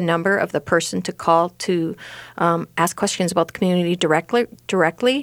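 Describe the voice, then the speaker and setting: With an Upper Midwest accent, a woman talks at a fairly quick pace on a very clean recording with a silent background. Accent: Upper Midwest American. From Rochester, Minnesota. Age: 50s. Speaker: senior housing website owner. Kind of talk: radio interview.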